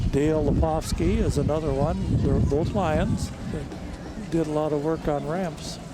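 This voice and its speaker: With audible room echo and noticeable background noise, a man talks at a fairly slow pace. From Minnesota, Brooklyn Park. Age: 70s. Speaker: Lions club member, parade co-commentator. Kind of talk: live parade commentary. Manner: halting with fillers.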